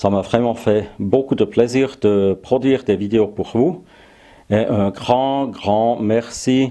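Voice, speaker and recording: With a German accent, a man talks at a very slow pace in a dark, mellow tone, his medium pitch showing ordinary variation and his loudness very even. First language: German (speaking French). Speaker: woodworking YouTuber. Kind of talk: casual vlog address. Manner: halting, frequent hesitations.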